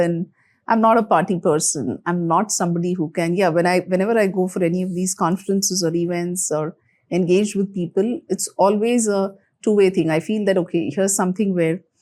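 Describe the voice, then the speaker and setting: Her medium-pitched voice has a dark, mellow tone and fairly even intonation. The woman talks at a fairly quick pace in a very clean recording with a silent background. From India, Mumbai. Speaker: HR executive. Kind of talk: interview conversation.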